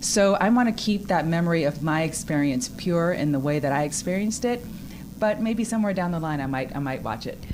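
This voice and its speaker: A woman talks at a fairly quick pace with lively intonation and a fairly low pitch. Noticeable background noise and audible room echo fill the recording. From Japan. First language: Japanese. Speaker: retired army helicopter pilot, teacher. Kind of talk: interview. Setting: restaurant.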